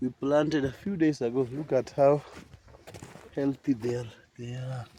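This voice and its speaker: Noticeable background noise sits behind this man. His intonation stays fairly even. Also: medium pitch for a man, moderate pace. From Kenya. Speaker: farmer. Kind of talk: farm video tutorial. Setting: outdoors on a farm.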